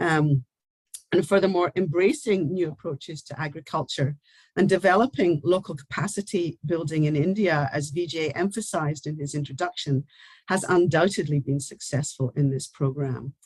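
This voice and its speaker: Somewhat breathy, a woman's very deep, low voice carries ordinary pitch variation at a moderate pace. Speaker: university research leader. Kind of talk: formal closing speech. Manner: formal.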